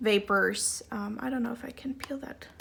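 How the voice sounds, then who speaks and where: This woman's voice sits fairly high and carries vocal fry. Her intonation is fairly even. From Germany. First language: German. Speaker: doll hobbyist vlogger. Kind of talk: tutorial. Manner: hesitant, many fillers.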